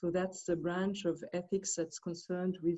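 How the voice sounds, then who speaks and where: A woman speaks in a Swiss French accent. Her pitch is medium and her pace moderate. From Switzerland, Geneva. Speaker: philosophy professor. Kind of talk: academic commentary. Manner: halting.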